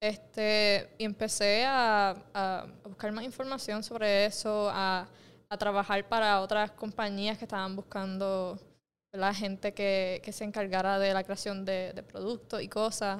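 With a Puerto Rican accent, a woman speaks at a medium pitch in a monotone, flat intonation, captured in a very clean recording with a silent background. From Puerto Rico, Mayagüez. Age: 20s. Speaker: entrepreneur. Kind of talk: casual interview. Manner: halting, many fillers and repetitions.

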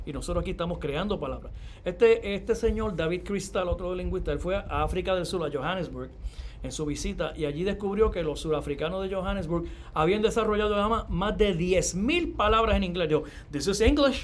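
A man speaks fairly quickly, with audible room echo around his voice. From Puerto Rico, Yabucoa (east). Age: 50s. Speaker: university professor and bilingualism expert. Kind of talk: interview.

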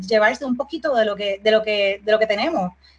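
A plain, everyday voice speaks at a fairly quick pace. Its pitch varies in an ordinary way. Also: woman. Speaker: export business founder. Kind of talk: casual interview.

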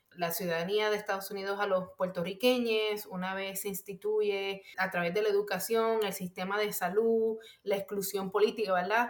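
Her intonation stays monotone and flat as a woman talks at a medium pitch and a moderate pace. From Puerto Rico. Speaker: mental health professional. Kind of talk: interview. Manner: hesitant, many fillers.

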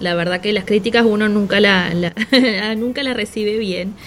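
With a normal speaking voice, a woman talks at a moderate pace and medium pitch. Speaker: podcast co-host, business coach. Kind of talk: casual talk show chat and advice segments.

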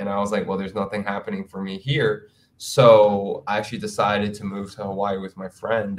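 This man has a normal speaking voice with fairly low pitch. He talks at a fairly quick pace with ordinary pitch variation. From Queens, New York City. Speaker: dancer and event producer. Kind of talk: casual interview.

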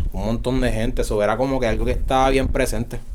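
There is audible room echo and noticeable background noise around this man's voice. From Puerto Rico, San Germán. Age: 20s. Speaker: rapper. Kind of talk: casual chat.

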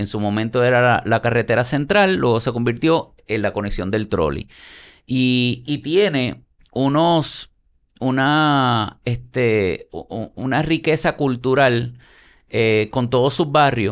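Against a quiet background, a man speaks at medium pitch with ordinary pitch variation. His pace is very slow. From Puerto Rico (Santurce, San Juan). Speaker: architect and urban developer. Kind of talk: casual interview.

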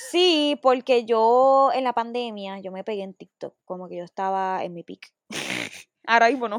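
A woman with a Puerto Rican accent at a fairly slow pace, fairly high in pitch, with lively intonation, big swings in loudness and a dry, close sound with no echo. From Puerto Rico, Bayamón. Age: 20s. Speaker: singer, former reality show contestant. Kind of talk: casual interview.

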